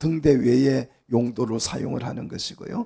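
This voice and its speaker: Somewhat breathy, a man speaks in a dark, mellow tone. He keeps a fairly slow pace. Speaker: pastor. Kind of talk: sermon.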